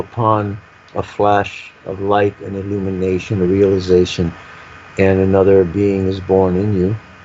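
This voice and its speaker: Here a man with a fairly low pitch talks at a moderate pace in a monotone, flat intonation. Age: 70s. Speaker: guest speaker on spirituality and UFO topics. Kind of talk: interview conversation. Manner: reflective, halting with repetitions.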